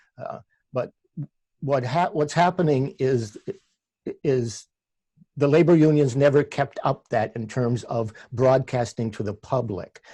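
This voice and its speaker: Speaking at a fairly slow pace with long, frequent pauses, a man uses a medium pitch, ordinary pitch variation, and a dark, mellow, somewhat breathy tone. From Canada, Ontario (Oakville near Toronto). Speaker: labour radio host and producer. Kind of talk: interview. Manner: halting, many restarts.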